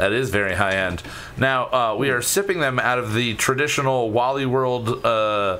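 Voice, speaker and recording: A man's voice with ordinary pitch variation and very even loudness, amid noticeable background noise and audible room echo. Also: medium pitch for a man, moderate pace. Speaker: podcast host. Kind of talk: casual chat. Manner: animated.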